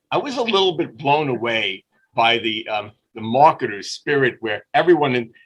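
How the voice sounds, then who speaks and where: A man speaks at a fairly quick pace with a New York accent. His tone is bright and sharp. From Brooklyn, New York. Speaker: business owner and marketer. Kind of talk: interview storytelling. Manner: animated.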